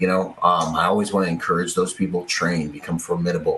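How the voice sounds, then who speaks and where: Against noticeable background noise, a man with an American accent speaks in a very deep, low pitch. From Bahamas and Washington State, US. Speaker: security agent and military veteran. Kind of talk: podcast interview. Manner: animated.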